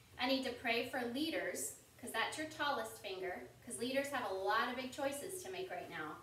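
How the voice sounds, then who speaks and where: Against light background noise and audible room echo, a woman speaks at a high pitch. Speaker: Sunday school teacher parent. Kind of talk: children's lesson. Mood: gentle, warm, reassuring. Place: home room. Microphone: camera far.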